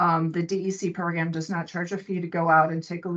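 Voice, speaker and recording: With fairly even intonation, a woman talks at a moderate pace in a normal speaking voice. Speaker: state wetlands ecologist. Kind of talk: presentation.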